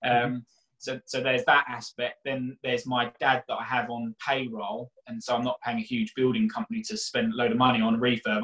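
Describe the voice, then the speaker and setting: A man speaks at a fairly quick pace with hardly any pauses. The background is quiet. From South London (Catford, Bromley area); London. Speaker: mortgage broker and property investor; guest. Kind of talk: casual interview. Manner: hesitant, repeats words. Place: home room. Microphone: webcam.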